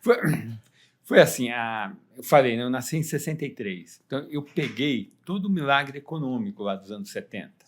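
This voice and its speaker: With a plain, everyday voice, a man talks at a moderate pace in a fairly high pitch, his intonation lively and his loudness swinging widely. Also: very clean recording, silent background. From Brazil, São Paulo city. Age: 60s. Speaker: economist. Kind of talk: podcast interview.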